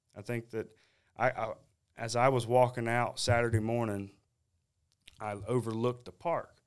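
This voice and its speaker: A man in a Southern US accent, monotone and flat in intonation, with long, frequent pauses. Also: medium pitch for a man, moderate pace. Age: young. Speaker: competition barbecue cook. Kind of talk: casual interview.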